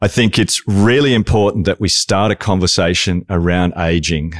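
An Australian accent, dry and close with no echo, over a quiet background. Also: man. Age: 50s. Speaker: podcast co-host. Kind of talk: interview.

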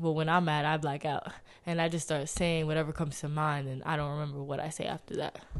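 With audible room echo, a woman talks very fast in a very deep, low voice and a monotone, flat intonation. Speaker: podcast guest. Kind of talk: casual chat.

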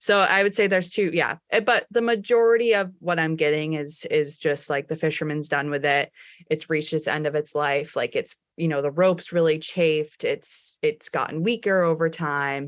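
A woman's ordinary speaking voice with an American accent, fairly low in pitch, with ordinary pitch variation and a moderate pace, on a very clean recording with a silent background. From Cape Cod, Massachusetts (Truro). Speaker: fishing gear recycler. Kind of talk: interview.

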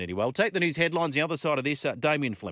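A man speaks in a warm, upbeat tone with very wide pitch swings. The recording is very clean, with a silent background. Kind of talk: radio DJ patter. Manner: warm, colloquial Aussie banter, laughing and ad-libbing.

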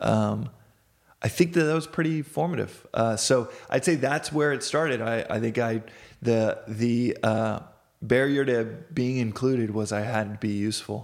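A man with an American accent, medium pitch, moderate pace and ordinary pitch variation. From Texas, Dallas. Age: 30s. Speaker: startup founder. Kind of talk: interview conversation. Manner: halting, many fillers.

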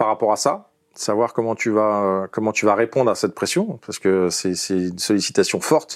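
A man's fairly low voice at a moderate pace with ordinary pitch variation, on a very clean recording with a silent background. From Paris region, France. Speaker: former footballer. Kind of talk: interview. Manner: halting, many fillers.

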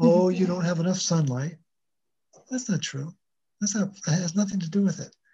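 A dark, mellow tone with ordinary pitch variation. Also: man. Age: 60s. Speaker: wellness coach, mineral researcher. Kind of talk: interview, health explanation. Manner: energetic, repeats words.

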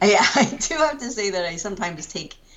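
Over noticeable background noise and audible room echo, a woman with an American accent talks at a fairly quick pace with lively intonation. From Pennsylvania. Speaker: writer and editor. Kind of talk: interview conversation. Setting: at home.

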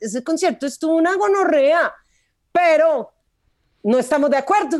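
A woman is speaking. She keeps a moderate pace. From Medellín, Colombia. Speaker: comedian. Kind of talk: casual chat.

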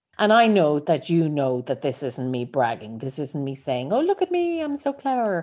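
This woman speaks in an Irish accent at a moderate pace. She leaves hardly any pauses. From Ireland. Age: 50s. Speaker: life coach and podcaster. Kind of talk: solo podcast monologue.

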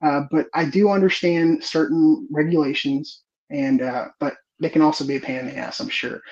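An unremarkable speaking voice with an American accent carries ordinary pitch variation. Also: man. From Texas, Houston area. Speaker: home gardening social media creator. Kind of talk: casual interview.

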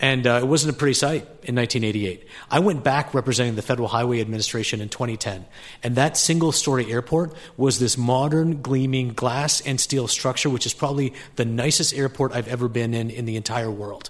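In an unremarkable speaking voice, a man talks at a fairly quick pace with a medium pitch and ordinary pitch variation. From Canada. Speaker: state transportation official. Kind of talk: formal debate. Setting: stage with audience.

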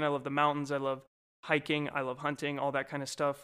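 Recorded very cleanly against a silent background, a man speaks with a bright, sharp tone at a fairly high pitch. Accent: American. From Colorado. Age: 20s. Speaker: podcast co-host. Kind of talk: casual chat.

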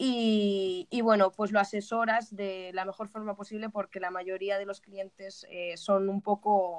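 A woman speaks at medium pitch in a monotone, flat intonation, at a fairly slow pace with hardly any pauses. The sound is dry and close, with no echo. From Spain, Alicante. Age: 20s. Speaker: community manager. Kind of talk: interview. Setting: remote call from Spain.

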